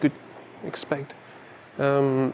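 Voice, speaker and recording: The man here has a fairly high pitch. Behind his voice, noticeable noise is audible. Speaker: urban exploration vlogger. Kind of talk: walking tour vlog. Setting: indoors in an empty mall. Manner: halting.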